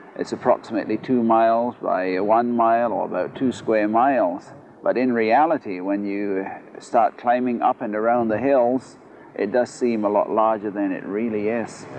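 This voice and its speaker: Moderately paced speech with fairly level intonation, amid clearly audible background noise. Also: man, medium pitch for a man. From Pitcairn Island, South Pacific. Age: 50s. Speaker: islander interviewee, radio operator. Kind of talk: interview. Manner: hesitant, with frequent fillers.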